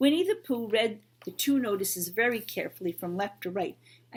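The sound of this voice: Lively intonation runs through the speech. It is an unforced reading voice.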